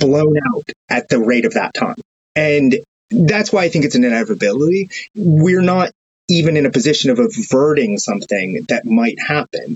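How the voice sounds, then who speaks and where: A man with an American accent, fairly high pitch, very wide pitch swings and a moderate pace. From United States. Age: 30s. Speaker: journalist. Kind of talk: casual chat.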